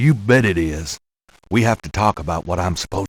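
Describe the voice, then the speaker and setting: In a put-on character voice, a man growls at a fairly quick pace with very deep, low pitch and lively intonation, recorded very cleanly against a silent background. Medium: video game. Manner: wry, laconic.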